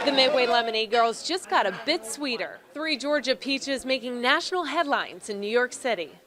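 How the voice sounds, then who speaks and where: Lively intonation at a fairly quick pace, with hardly any pauses, over noticeable background noise. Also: woman, high pitch for a woman. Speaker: news anchor and reporter. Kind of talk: TV news read.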